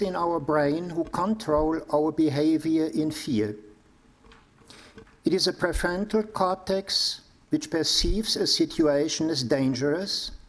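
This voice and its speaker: Pitch rises and falls in an ordinary way. The delivery is fairly slow. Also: man. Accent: German. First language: German. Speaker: priest and psychotherapist giving a lecture. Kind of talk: lecture.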